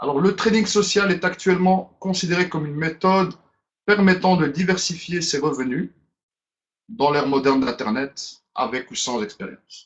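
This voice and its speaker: In a Brussels accent, a man speaks with a high pitch and lively intonation. His pace is moderate. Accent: Brussels Belgian French. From Belgium, Brussels. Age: 30s. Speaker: business presenter. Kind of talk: webinar presentation. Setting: online webinar. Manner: hesitant, with fillers.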